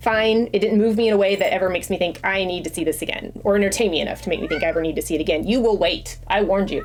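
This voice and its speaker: The speech comes very fast with ordinary pitch variation. Noticeable background noise runs underneath. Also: woman. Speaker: crochet and movie vlogger. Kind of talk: casual vlog talk.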